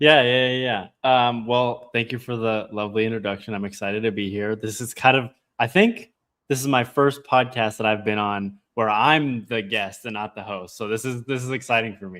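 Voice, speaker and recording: The speaker uses an American accent, a moderate pace and fairly even intonation. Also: man, medium pitch for a man. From Colorado, US. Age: 20s. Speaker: AI business owner and student. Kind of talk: podcast interview. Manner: casual, many fillers.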